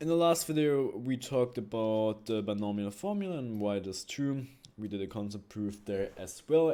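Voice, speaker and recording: With a non-native accent, a man talks at a moderate pace in a dark, mellow tone with ordinary pitch variation, captured in a very clean recording with a silent background. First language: not English. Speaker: math teacher. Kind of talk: tutorial. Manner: halting, with frequent fillers.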